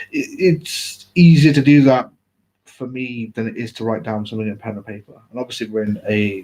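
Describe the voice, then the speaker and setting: This man talks at a fairly quick pace with an English accent and ordinary pitch variation. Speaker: vlogger. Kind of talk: personal live video talk. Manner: mumbling, halting; uneven volume, sometimes loud.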